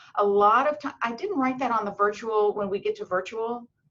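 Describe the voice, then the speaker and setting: A woman talks fairly quickly in an ordinary speaking voice. Her pitch is fairly high, with ordinary pitch variation. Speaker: medical school admissions advisor. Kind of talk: webinar presentation.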